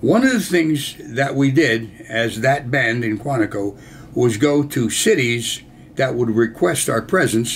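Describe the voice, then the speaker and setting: Fairly slow American-accented speech with ordinary pitch variation and noticeable background noise. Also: man, medium pitch for a man. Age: 80s+. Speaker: war veteran. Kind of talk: storytelling.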